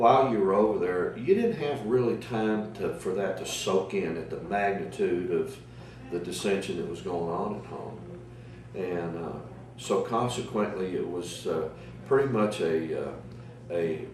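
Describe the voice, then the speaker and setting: With an American accent and lively intonation, a man at a fairly low pitch speaks at a fairly slow pace amid noticeable background noise and audible room echo. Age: 60s. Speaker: navy veteran. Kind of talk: oral history interview. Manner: halting, many fillers.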